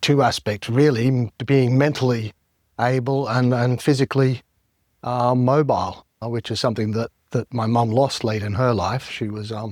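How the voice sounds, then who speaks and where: In an Australian accent, a man talks at a medium pitch and moderate pace with fairly even intonation, the sound dry and close with no echo on a very clean recording with a silent background. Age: 60s. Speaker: member of the public sharing experience. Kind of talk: personal testimony.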